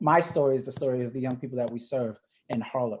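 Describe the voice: The speaker has an American accent. The tone is slightly mellow. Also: man.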